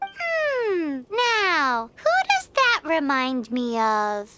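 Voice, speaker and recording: This is a put-on character voice, high and squeaky with very wide pitch swings. It moves at a very slow pace. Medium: video game. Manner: confident, wry.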